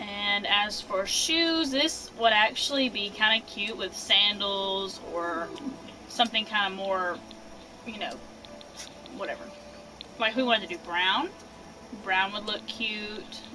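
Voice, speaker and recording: A woman speaks at a fairly slow pace with ordinary pitch variation, pausing long and often over noticeable background noise. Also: medium pitch for a woman. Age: 20s. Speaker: gaming streamer. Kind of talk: casual live stream tutorial. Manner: casual, chatty with fillers.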